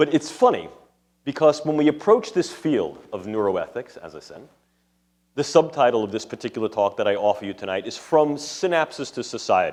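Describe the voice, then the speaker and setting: A man with a strong New York accent, fairly high in pitch, with vocal fry, a fairly quick pace, big swings in loudness and very wide pitch swings. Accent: thick New York City. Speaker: neuroscientist and ethics lecturer. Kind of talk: lecture. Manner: formal.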